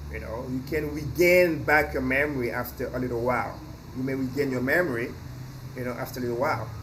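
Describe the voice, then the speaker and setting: Very fast, with fairly even intonation at medium pitch, a man talks amid noticeable background noise and audible room echo. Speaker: English teacher. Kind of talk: lecture. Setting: outdoors on a balcony. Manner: loud.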